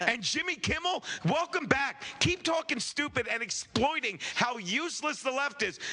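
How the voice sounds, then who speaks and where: Loud and animated, a man speaks at an extremely high pitch and moderate pace with lively intonation and hardly any pauses over noticeable background noise. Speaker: comedian and podcaster. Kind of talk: casual comedic podcast banter.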